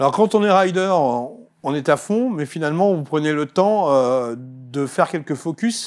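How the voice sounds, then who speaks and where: A man with a fairly high voice speaks at a fairly slow pace with lively intonation and hardly any pauses, on a very clean recording with a silent background. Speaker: TV host. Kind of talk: TV interview. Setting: studio.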